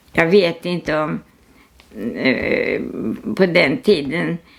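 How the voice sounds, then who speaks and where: Noticeable noise runs in the background. Over it, a woman speaks. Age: 80s+. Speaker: artist. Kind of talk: casual chat. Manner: halting.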